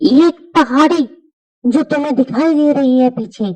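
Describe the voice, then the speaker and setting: A woman does a cartoonish character voice at a fairly slow pace. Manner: mysterious, persuasive.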